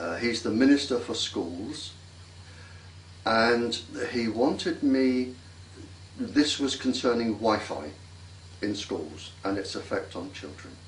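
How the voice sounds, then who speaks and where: A man speaks at medium pitch and a very slow pace, with lively intonation and long, frequent pauses. Noticeable background noise and audible room echo fill the recording. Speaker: radiation scientist. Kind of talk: interview.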